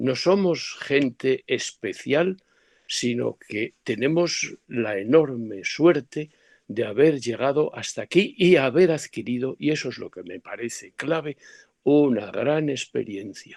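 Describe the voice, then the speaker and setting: Very slow speech with lively intonation, a dry, close sound with no echo, and a quiet background. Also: man, fairly high pitch for a man. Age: 70s. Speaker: professor. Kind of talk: lecture. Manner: halting.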